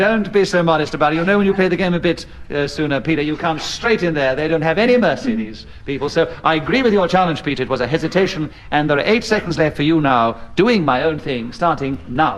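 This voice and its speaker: Over noticeable background noise, a man rattles along at a very fast pace with hardly any pauses, his fairly high voice full of lively intonation. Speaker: radio panel game chairman. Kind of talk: radio panel show hosting.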